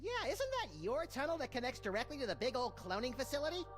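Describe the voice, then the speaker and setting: A high, female-sounding put-on character voice at a very fast pace over loud background noise. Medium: video game. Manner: manic, joking.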